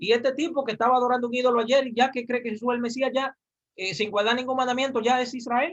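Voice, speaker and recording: Very fast speech comes from a man with a high pitch. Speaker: religious teacher. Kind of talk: lecture. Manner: animated.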